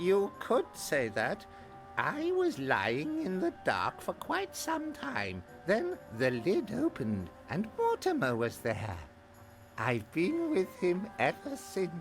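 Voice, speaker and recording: Clear music plays in the background as someone speaks slowly in a put-on character voice. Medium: video game. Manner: confused, rambling.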